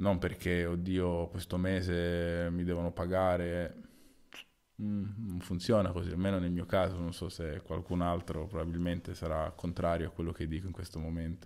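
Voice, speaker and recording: A man speaks in a very deep, low voice at a moderate pace. His intonation is monotone and flat. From Sicily, Italy. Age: 30s. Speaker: volleyball player. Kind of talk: solo casual monologue. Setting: at home at night. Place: home room. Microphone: new microphone, placed too close; studio mic.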